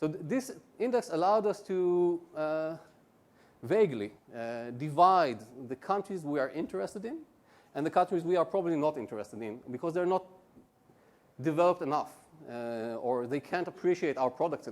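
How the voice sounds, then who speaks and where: Speaking at a fairly quick pace, the voice swings very widely in pitch and breaks off with long, frequent pauses. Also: man, fairly high pitch for a man. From Israel. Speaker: conference presenter. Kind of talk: conference presentation. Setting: stage with audience. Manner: fast; halting, many fillers.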